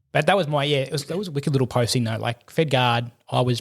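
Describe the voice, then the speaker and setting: An Australian-accented man with medium pitch, vocal fry and ordinary pitch variation talks at a very fast pace. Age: 30s. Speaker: firefighter and army veteran. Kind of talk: casual chat.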